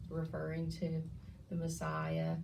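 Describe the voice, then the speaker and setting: Noticeable noise sits behind this woman's talking. Her voice carries an audible room echo. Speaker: bible study leader. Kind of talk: bible study teaching.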